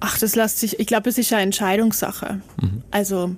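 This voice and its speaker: Monotone, flat delivery at a moderate pace. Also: woman. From South Tyrol, Italy. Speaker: TV journalist. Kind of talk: casual interview. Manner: hesitant, many fillers.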